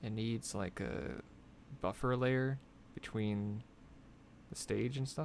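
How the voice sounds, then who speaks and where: A soft-spoken man's fairly low voice with very wide pitch swings. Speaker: concept artist. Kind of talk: live drawing tutorial. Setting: live stream. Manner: casual, thinking aloud; quiet, soft-spoken while concentrating.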